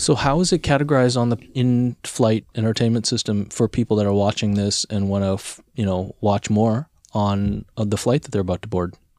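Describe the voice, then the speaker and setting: Talking at a fairly quick pace, a man uses an ordinary speaking voice, fairly low in pitch with ordinary pitch variation, in a very clean recording with a silent background and dry, close sound with no echo. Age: 40s. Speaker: podcast host. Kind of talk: casual interview. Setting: studio.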